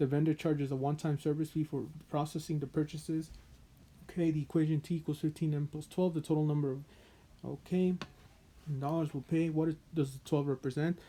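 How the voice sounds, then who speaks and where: The delivery is very fast. It also has long, frequent pauses. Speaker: math tutor. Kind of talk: tutorial.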